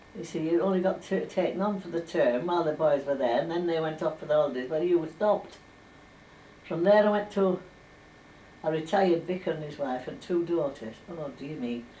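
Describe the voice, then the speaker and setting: A woman with a fairly low pitch and ordinary pitch variation talks at a fairly quick pace, with audible room echo and light background noise. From Furness, northern England. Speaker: former domestic servant. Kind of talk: oral history interview. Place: home room. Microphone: old recording.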